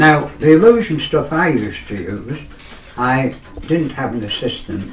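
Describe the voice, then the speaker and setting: Speaking with an East Midlands accent, a man uses a fairly high pitch with very wide pitch swings. Audible room echo and noticeable background noise surround him. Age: 80s+. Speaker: magician. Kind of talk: casual chat.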